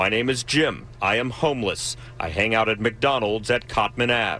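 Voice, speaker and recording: A man's put-on character voice, robotic and medium-pitched, at a moderate pace over clear background noise. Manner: robotic, monotone.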